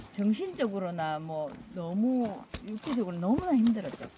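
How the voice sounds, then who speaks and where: A woman talks very slowly at a medium pitch with lively intonation. Noticeable background noise and audible room echo fill the recording. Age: 60s. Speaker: barefoot hiker. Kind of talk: interview.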